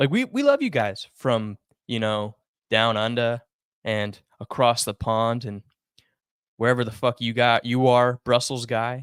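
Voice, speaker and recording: A man with an American accent at a medium pitch, monotone and flat, at a fairly slow pace with long, frequent pauses, in a dry, close sound with no echo. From United States. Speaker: sports podcast co-host. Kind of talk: casual chat.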